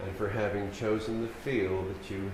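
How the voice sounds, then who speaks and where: At a very slow pace, a man with an American accent speaks at a fairly low pitch, with audible room echo and noticeable background noise. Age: 70s. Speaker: keynote speaker, paraplegic rehabilitation advocate. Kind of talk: keynote speech. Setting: conference stage with audience. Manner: formal.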